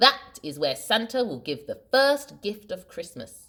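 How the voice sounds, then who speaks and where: A woman performs a put-on character voice. It sits fairly high in pitch and moves at a fairly slow pace. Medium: read story.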